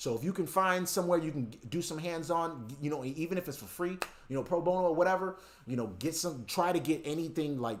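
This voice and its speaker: A man with an American accent talks at a very fast pace. His pitch is high, with ordinary pitch variation. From New York City. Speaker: network engineer and tech streamer. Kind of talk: live-stream tutorial with chat Q&A. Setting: live stream. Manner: casual, conversational. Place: home room. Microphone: webcam.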